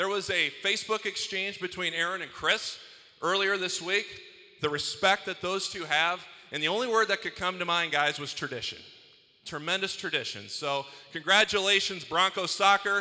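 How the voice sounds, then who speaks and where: Against a quiet background, a man talks at a moderate pace with a bright, sharp tone and a high pitch. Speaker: athletic conference commissioner; event host. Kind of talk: ceremony speech. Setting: arena with live audience. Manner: enthusiastic. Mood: celebratory, joking. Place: hall. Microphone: handheld.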